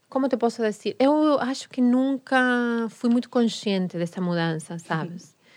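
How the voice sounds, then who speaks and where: The speaker talks at a fairly slow pace with a Spanish accent, lively intonation and hardly any pauses. Loudness swings widely against a quiet background. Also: woman, fairly high pitch for a woman. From Argentina, Rosario. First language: Spanish (speaking Portuguese). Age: 40s. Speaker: tango dancer and teacher. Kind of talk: casual interview. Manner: mixes Portuguese and Spanish.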